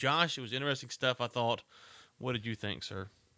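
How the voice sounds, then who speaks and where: This voice has a bright, sharp tone, ordinary pitch variation, and a Southern US accent. The recording is very clean, with a silent background. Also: man. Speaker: podcast host. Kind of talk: casual chat.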